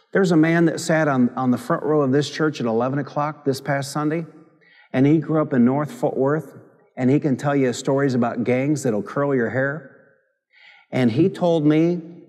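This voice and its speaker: Fairly high-pitched man at a moderate pace, with ordinary pitch variation and a quiet background. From Michigan. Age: 50s. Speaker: pastor. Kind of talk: sermon. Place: church.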